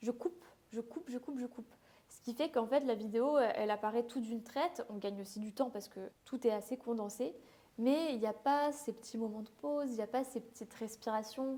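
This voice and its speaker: A woman with a fairly high pitch speaks at a fairly quick pace, with ordinary pitch variation and big swings in loudness. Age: 20s. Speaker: beauty content creator. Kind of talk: casual vlog talk to camera. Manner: fast; hesitant, with fillers.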